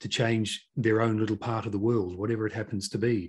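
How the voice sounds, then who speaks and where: A somewhat breathy man's voice, fairly low in pitch, at a moderate pace. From New Zealand. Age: 50s. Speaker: business consultant and podcast host. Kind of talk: interview.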